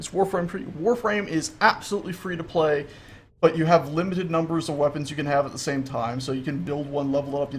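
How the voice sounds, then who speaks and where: Somewhat breathy and fairly quick, a man with an American accent speaks with ordinary pitch variation. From US South, Florida. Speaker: gaming livestreamer. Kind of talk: casual gameplay livestream chat. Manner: animated.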